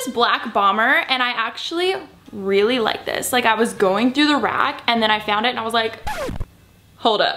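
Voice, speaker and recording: Light background noise sits behind a woman speaking at a moderate pace. Her pitch varies in an ordinary way. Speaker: fashion vlogger. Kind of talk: casual vlog chat. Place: home room.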